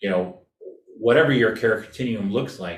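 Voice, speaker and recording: With an American accent, a man speaks at a fairly low pitch in a somewhat breathy voice, with audible room echo around him. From California. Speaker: design researcher and presenter. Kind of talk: presentation and Q&A.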